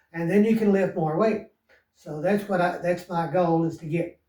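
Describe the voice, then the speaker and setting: A man's high voice with fairly even intonation. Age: 70s. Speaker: fitness vlogger. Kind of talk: casual monologue. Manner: halting, many fillers.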